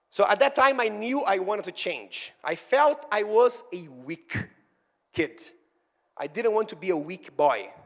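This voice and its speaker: A man with a Brazilian Portuguese accent, at a very slow pace. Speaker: fitness trainer and speaker. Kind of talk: motivational talk. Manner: animated.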